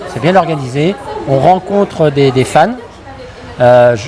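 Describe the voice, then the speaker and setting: Noticeable background noise sits behind a man's voice. He speaks at a fairly slow pace with ordinary pitch variation. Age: 60s. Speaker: fan at a convention. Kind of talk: casual interview. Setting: fan convention. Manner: halting.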